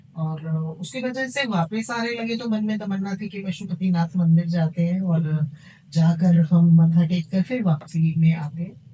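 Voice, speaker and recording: Over noticeable background noise, a woman with a fairly low pitch and ordinary pitch variation speaks with hardly any pauses. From India. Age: 50s. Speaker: tarot card reader. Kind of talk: podcast interview.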